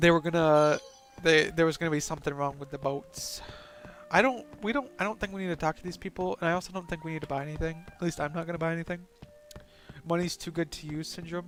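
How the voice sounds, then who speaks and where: Music plays in the background as a man speaks at high pitch. His pace is very fast, with ordinary pitch variation. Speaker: gaming let's play host. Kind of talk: let's play commentary, reading game dialogue aloud. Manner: casual, halting with repetitions.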